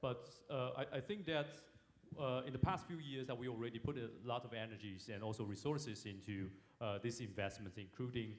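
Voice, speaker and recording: The man's voice is at a medium pitch and a fairly quick pace. Audible room echo surrounds it. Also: ordinary pitch variation. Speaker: forum moderator, government security official. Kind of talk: panel discussion moderation. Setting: stage at international forum. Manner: halting, many fillers.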